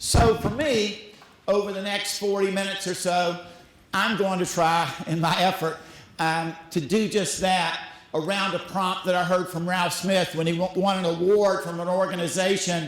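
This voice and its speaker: Speaking in a Southern US accent at a moderate pace, a man has a high voice with fairly even intonation, heard through audible room echo and noticeable background noise. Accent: Southern US (Georgia). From US South. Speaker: school executive director. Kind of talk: conference talk. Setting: stage with audience.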